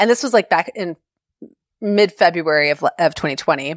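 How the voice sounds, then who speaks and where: A woman in an unremarkable speaking voice talks at a fairly quick pace and medium pitch with lively intonation, in a dry, close sound with no echo. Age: 40s. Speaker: blogger. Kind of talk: casual interview.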